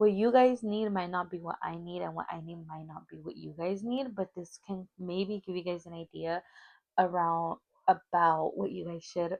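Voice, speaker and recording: A woman speaks at a moderate pace. Her voice is fairly low in pitch. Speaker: vlogger. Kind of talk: casual vlog. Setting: filming on phone at home. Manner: loud; talkative. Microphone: clip-on mic on broken phone.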